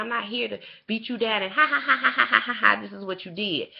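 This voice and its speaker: A woman with a fairly high pitch speaks at a fairly quick pace, her lively intonation touched with vocal fry. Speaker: TV show reviewer, vlogger. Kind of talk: casual opinion vlog, direct to camera. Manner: fast; animated, impassioned.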